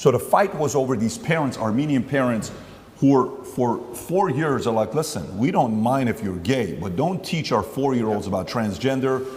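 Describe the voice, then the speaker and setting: The speech has a lively intonation, delivered with an American accent at a moderate pace. There's noticeable background noise along with audible room echo. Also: man, medium pitch for a man. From Glendale, California. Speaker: interviewer, businessman. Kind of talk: interview.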